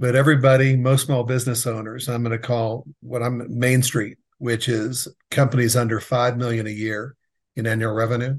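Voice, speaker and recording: Against a quiet background, a man with a medium pitch talks at a moderate pace, somewhat breathy and in a monotone, flat intonation. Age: 60s. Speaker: business advisor for contractors, former general contractor. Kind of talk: casual interview.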